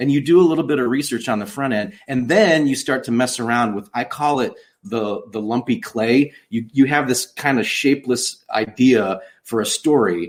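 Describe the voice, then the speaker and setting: Lively in intonation, a man with a Chicago accent talks at a medium pitch. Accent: northern US (Chicago area). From US Midwest, outside Chicago. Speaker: children's book author and songwriter. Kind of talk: interview conversation.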